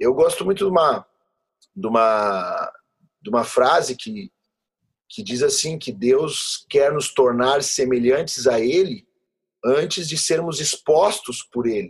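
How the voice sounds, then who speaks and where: A man with a fairly high pitch speaks very slowly, leaving long, frequent pauses. His pitch swings very widely and his loudness shifts a lot. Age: 30s. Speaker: pastor. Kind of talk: interview conversation.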